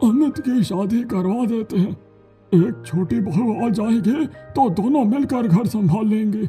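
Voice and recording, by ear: A man's high-pitched cartoonish character voice at a fairly slow pace, faint music in the background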